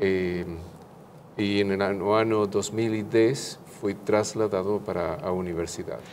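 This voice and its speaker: A man's fairly low voice with an Argentine accent. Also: fairly even intonation, fairly slow pace. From Argentina. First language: Spanish (speaking Portuguese). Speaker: theology professor, pastor, author. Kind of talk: interview. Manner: halting, hesitant.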